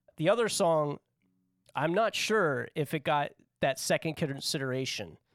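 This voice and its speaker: A man with an ordinary speaking voice talks at a fairly high pitch and a moderate pace with lively intonation. The recording is very clean, with a silent background and a dry, close sound with no echo. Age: 30s. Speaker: podcast co-host running a music tournament draft. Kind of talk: casual chat. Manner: laughs often.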